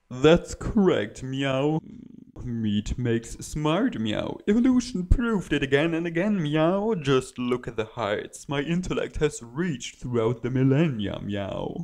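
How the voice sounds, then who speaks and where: Using a cartoonish character voice, a man speaks at a fairly slow pace with a fairly high pitch. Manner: smug, pompous.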